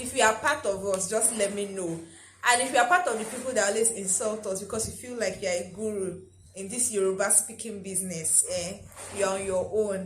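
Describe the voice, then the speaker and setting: With a Nigerian accent, a woman talks at a moderate pace with ordinary pitch variation. Room echo is audible, and background noise is noticeable. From Nigeria (Lagos, Ogun State). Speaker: lifestyle vlogger. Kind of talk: casual vlog talk.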